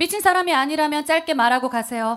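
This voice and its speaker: A woman is speaking here. She talks at a fairly quick pace. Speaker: actor and podcast co-host. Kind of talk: dramatic play reading. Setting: stage with live audience.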